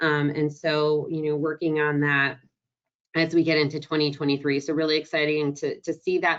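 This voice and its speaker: A woman with a very deep, low pitch and monotone, flat intonation at a fairly quick pace. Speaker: road safety program presenter. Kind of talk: webinar presentation. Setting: online webinar. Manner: fast.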